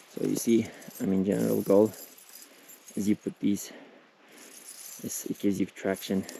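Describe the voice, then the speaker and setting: A man whispers quietly at a moderate pace, leaving long, frequent pauses. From Turkey. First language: Turkish. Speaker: travel vlogger. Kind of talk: casual vlog narration. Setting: outdoors on a hiking trail. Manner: halting, with many fillers; quiet, half-whispering.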